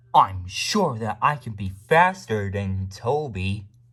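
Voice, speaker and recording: A man adopts a put-on character voice, pitched fairly low and delivered fairly slowly. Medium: machinima. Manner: indignant, accusatory.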